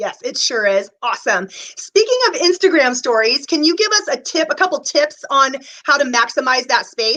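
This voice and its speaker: A woman's raised, projected, high-pitched voice, enthusiastic in tone, with very wide pitch swings and hardly any pauses. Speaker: interview host, body code practitioner. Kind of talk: interview. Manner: fast.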